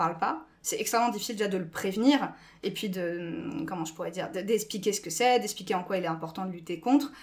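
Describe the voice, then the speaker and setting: A woman talks very fast at a medium pitch. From France. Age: 20s. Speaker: school staff member. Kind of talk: podcast interview.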